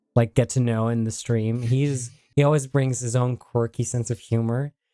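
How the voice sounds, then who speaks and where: A man's dark, mellow tone in a monotone, flat delivery, with a dry, close sound and no echo. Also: medium pitch for a man, moderate pace. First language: Dutch. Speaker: gaming streamer. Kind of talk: casual chat. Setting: livestream.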